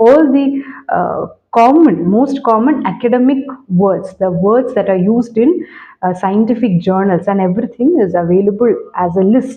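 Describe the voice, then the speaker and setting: A woman speaks with a Keralan accent. Her intonation is lively. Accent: Indian (Malayali) English. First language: Malayalam. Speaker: English language teacher. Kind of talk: tutorial. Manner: hesitant, many fillers.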